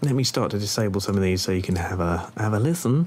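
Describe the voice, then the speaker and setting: A man's voice with lively intonation over noticeable background noise. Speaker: music producer. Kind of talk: tutorial. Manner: casual, hesitant with fillers.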